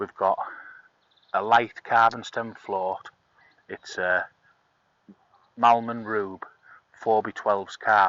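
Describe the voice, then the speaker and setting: Speaking at a very slow pace with long, frequent pauses, a man with an English accent keeps a medium pitch and a monotone, flat intonation. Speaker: angling video host. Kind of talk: tutorial. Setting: outdoors. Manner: soft-spoken.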